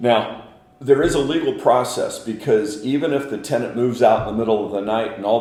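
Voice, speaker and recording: A man's fairly quick pace and ordinary pitch variation come through noticeable background noise. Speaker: auctioneer and commercial real estate professional. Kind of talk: interview answer, explanatory.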